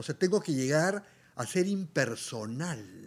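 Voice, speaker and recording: On a very clean recording with a silent background, a man speaks very slowly at a fairly high pitch with lively intonation. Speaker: musician and artist. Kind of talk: interview conversation.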